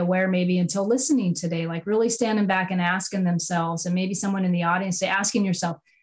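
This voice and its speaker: Somewhat breathy, this woman speaks at a medium pitch with ordinary pitch variation. The recording is very clean, its background silent. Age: 40s. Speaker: podcast host. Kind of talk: interview podcast conversation.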